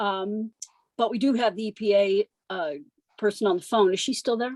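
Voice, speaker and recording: An ordinary speaking voice from a woman, fairly high in pitch with ordinary pitch variation, in a dry, close sound with no echo. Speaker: community advisory group member. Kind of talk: public meeting comment.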